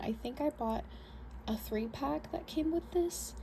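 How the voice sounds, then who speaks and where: A soft-spoken woman at a moderate pace, with noticeable background noise. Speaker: beauty vlogger. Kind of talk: show-and-tell tutorial. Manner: hesitant with fillers.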